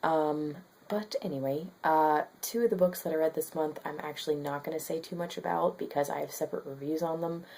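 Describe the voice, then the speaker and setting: A woman with a very deep, low pitch speaks quietly at a fairly quick pace, her dark, mellow tone held in fairly even intonation. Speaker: book vlogger. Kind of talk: casual vlog monologue. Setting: at home. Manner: quiet, below normal volume; hesitant with many fillers.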